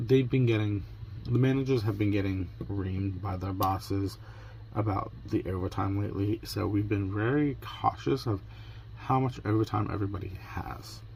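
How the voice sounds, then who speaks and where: Somewhat breathy, the man's voice sits fairly low in pitch. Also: ordinary pitch variation, moderate pace. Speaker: crafting vlogger. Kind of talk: casual vlog chat. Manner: conversational, rambling storytelling.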